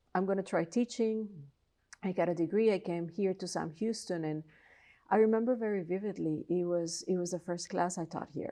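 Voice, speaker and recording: A woman with a Colombian accent speaks at a fairly quick pace in a dark, mellow tone with lively intonation over a quiet background. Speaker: philosophy professor. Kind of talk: interview.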